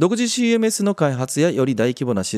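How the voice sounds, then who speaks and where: A man's dark, mellow voice swings very widely in pitch, recorded dry and close with no echo. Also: very clean recording, silent background. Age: 40s. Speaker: podcast host and web director. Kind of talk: casual solo podcast talk. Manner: chatty.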